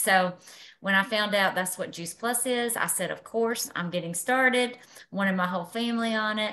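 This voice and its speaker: The voice has a bright, sharp tone. It keeps a moderate pace with ordinary pitch variation. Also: woman. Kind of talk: personal testimony on group call. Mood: upbeat, enthusiastic. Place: home room. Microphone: video call.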